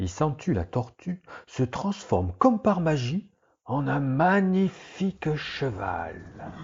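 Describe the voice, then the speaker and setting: A man puts on a character voice with very wide pitch swings. He pitches it fairly high and keeps a fairly slow pace. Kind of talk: bedtime relaxation story. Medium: read story. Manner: slow, soothing, meditative.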